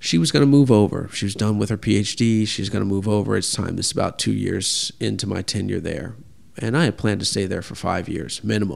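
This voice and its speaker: Here is a man with a plain, everyday voice and a fairly low pitch. He talks at a fairly quick pace with ordinary pitch variation. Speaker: pastry chef. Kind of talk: interview conversation.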